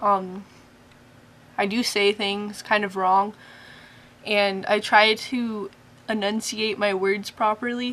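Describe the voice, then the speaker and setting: Very slow delivery with long, frequent pauses and monotone, flat intonation. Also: woman, medium pitch for a woman. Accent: American. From US Pacific Northwest, Spokane, Washington. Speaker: vlogger. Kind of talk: casual vlog. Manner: frequent ums and hesitations.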